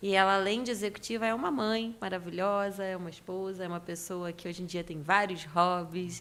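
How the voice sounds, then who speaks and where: In a Carioca accent, a woman talks at a fairly quick pace with hardly any pauses, a medium pitch, fairly even intonation and big swings in loudness. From Rio de Janeiro, Brazil. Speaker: leadership consultant. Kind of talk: podcast interview. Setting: office studio.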